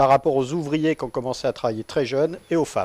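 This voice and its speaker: A very fast pace with ordinary pitch variation, in a dry, close sound with no echo and a very clean recording over a silent background. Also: man. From central France (Nevers, Massif central). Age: 40s. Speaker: trade unionist, railway worker. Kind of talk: radio interview. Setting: studio.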